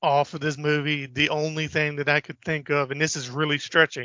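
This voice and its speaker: A man speaks with a fairly high pitch. His intonation is monotone and flat. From Richmond, Virginia, US South. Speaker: podcast co-host. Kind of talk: casual chat.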